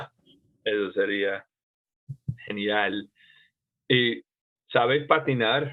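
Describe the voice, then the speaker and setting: Speaking at a very slow pace with long, frequent pauses, the voice shows ordinary pitch variation. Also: man, medium pitch for a man. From United States. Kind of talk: podcast conversation. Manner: hesitant, many fillers.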